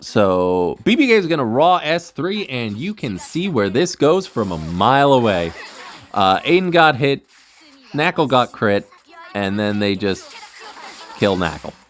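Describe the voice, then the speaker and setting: A man's medium-pitched voice with very wide pitch swings and long, frequent pauses, over noticeable background noise. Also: fairly slow pace. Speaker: gaming streamer. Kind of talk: live gameplay commentary. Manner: casual, filler-heavy.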